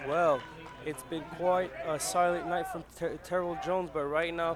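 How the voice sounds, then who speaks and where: With audible room echo and noticeable background noise, a man speaks at a moderate pace in a high pitch with fairly even intonation. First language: French. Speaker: football analyst. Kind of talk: live commentary.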